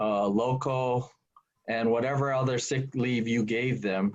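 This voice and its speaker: A man speaks at a very slow pace and a medium pitch. His intonation stays fairly even. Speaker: employment lawyer. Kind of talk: webinar presentation.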